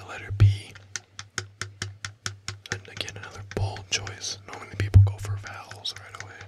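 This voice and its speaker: Long, frequent pauses break up this man's moderate-paced speech. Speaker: ASMR creator. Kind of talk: ASMR board game role play. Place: home room. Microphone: studio mic.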